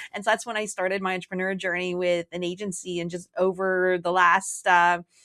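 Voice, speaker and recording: Speaking with a Canadian accent at a fairly quick pace, the voice has a bright, sharp tone and monotone, flat intonation. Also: woman, medium pitch for a woman. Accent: Canadian, quite pronounced. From Canada. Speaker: marketing strategist, former lawyer. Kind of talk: casual interview chat. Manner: casual, frequent um and like.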